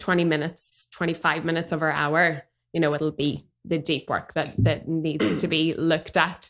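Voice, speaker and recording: A woman's very deep, low voice with a Northern Irish accent, at a moderate pace, with monotone, flat intonation, very even loudness, and a very clean recording with a silent background. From Northern Ireland. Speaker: dramatherapist. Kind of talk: podcast interview answer.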